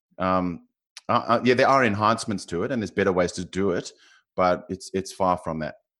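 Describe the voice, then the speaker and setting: On a very clean recording with a silent background, a man with a South African accent talks at a fairly quick pace, his pitch very deep and low with ordinary variation. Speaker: financial modeler. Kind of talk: interview. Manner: halting.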